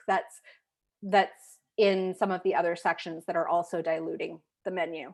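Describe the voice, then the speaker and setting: An unremarkable speaking voice moves at a fairly slow pace with fairly even intonation. The background is quiet. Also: woman. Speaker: photo consultant and photographers' rep. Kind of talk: live portfolio review.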